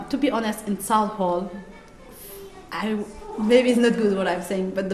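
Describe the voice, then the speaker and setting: A woman with a Somali accent speaks in a fairly high voice, leaving long, frequent pauses. Audible room echo and noticeable background noise surround her. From Somalia. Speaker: English language student. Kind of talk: interview. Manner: halting.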